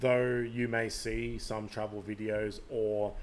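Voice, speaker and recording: A man's fairly low voice with a slight Australian accent. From Canada. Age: 40s. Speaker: podcast host. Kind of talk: live stream monologue. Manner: hesitant, many fillers.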